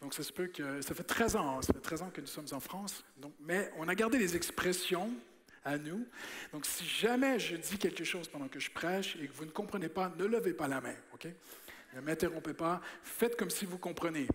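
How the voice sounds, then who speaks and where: In a Quebec accent, a man with a high voice speaks at a moderate pace in an animated tone, with ordinary pitch variation and big swings in loudness, amid audible room echo and noticeable background noise. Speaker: preacher. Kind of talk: sermon. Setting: church.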